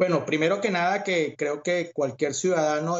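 A man is speaking. His pace is moderate. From Venezuela. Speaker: community activist and Republican party member. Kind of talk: interview. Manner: hesitant with fillers.

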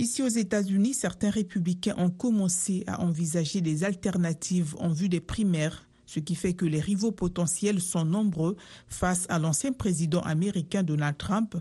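Against a quiet background, a woman speaks at a fairly slow pace in a fairly low, dark, mellow tone that is somewhat breathy, with ordinary pitch variation. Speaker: radio news anchor. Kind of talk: newsreading: a steady, formal read of world headlines in a brisk, even broadcast delivery. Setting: studio. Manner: formal, measured and neutral, with little emotion.

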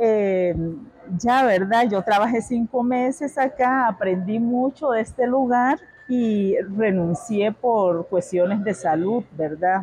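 A woman speaks very slowly at a fairly high pitch, with ordinary pitch variation and very even loudness. Noticeable background noise runs under her voice. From Nicaragua, Managua and Pacific side. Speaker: café owner. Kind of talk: interview. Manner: hesitant fillers.

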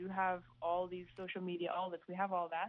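Using a plain, everyday voice, a woman with a medium pitch speaks at a fairly quick pace. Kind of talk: recorded interview clip.

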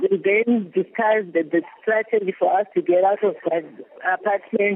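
Noticeable background noise is present. The talking proceeds at a moderate speed. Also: woman. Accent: Zimbabwean. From Zimbabwe. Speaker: trafficking victim. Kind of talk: testimony. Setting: shelter in Kuwait, remote.

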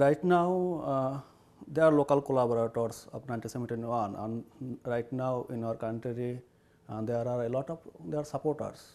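A man with a Bengali accent speaks at a moderate pace in a medium pitch, his tone dark and mellow and his pitch varying in an ordinary way. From Bangladesh (Barisal). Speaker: poet and writer in exile. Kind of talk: interview. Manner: halting.

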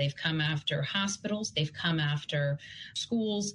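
This woman's pitch is very deep and low. Her voice is somewhat breathy. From Russia, Yaroslavl. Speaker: cybersecurity policy expert. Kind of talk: radio interview. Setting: video call.

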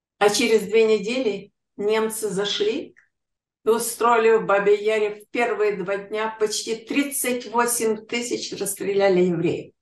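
A woman's fairly high voice moves very slowly, its intonation fairly even. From Ukraine, Kyiv. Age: 80s+. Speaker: Holocaust survivor. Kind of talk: testimony.

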